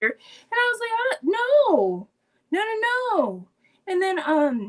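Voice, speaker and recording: A woman speaks at a very slow pace. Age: 30s. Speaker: interview guest sharing mental health story. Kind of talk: personal storytelling interview. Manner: casual, filler-heavy.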